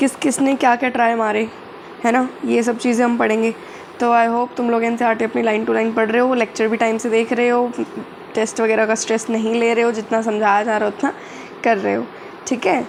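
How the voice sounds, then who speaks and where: Monotone and flat, a woman with a fairly high pitch speaks amid noticeable background noise and audible room echo. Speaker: biology tutor. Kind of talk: lecture. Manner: casual, code-switching Hindi-English.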